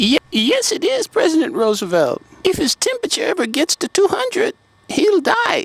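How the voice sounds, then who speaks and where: A man puts on a squeaky character voice with extremely high pitch and very wide pitch swings. He speaks at a moderate pace. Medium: audio drama. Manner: deferential, formal.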